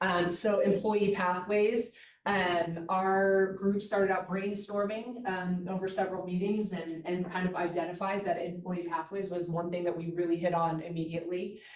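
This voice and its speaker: A woman at a medium pitch talks at a moderate pace in a monotone, flat intonation, with audible room echo. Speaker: staff member presenting a work group report. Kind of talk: meeting presentation. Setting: hybrid meeting, in person and on Zoom.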